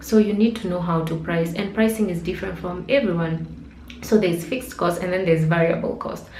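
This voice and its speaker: A woman's fairly low voice at a fairly quick pace, with ordinary pitch variation, audible room echo and noticeable background noise. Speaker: blogger and digital marketer. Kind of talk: tutorial. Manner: fast.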